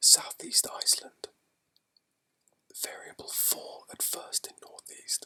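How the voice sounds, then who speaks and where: A soothing whisper at a fairly slow pace. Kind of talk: shipping forecast reading. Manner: whispered, soothing ASMR.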